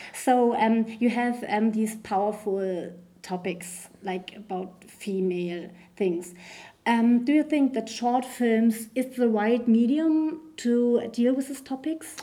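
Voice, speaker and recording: With a German accent, a woman speaks at a very slow pace with ordinary pitch variation. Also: fairly high pitch for a woman. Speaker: podcast host. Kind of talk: interview.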